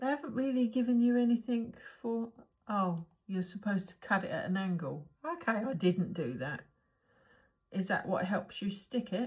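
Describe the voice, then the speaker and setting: Speaking at a moderate pace, a woman with a normal speaking voice keeps a medium pitch. Her intonation is lively. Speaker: crafting channel host. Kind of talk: crafting tutorial vlog. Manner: chatty, thinking aloud.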